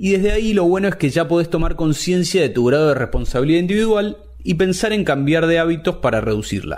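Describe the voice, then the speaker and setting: A man with a high pitch talks at a very fast pace with hardly any pauses, lively intonation and very even loudness. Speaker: podcast host. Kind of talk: scripted narration; interview.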